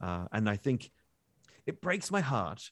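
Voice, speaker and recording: A man with an Australian accent and medium pitch. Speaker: science communicator and podcast co-host. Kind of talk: casual interview chat. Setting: remote call. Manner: animated.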